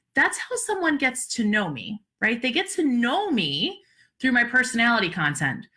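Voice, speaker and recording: The voice has a bright, sharp tone and an animated delivery, with very wide pitch swings at a moderate pace. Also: woman, high pitch for a woman. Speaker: social media business coach. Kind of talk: live-streamed webinar talk.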